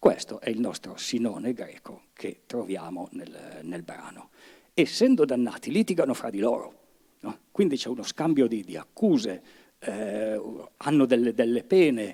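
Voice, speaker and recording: Dark and mellow in tone, a man's medium-pitched voice moves at a fairly slow pace with very wide pitch swings and big swings in loudness. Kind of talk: lecture introduction to a dialect reading. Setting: live event with audience. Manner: casual, conversational, hesitant.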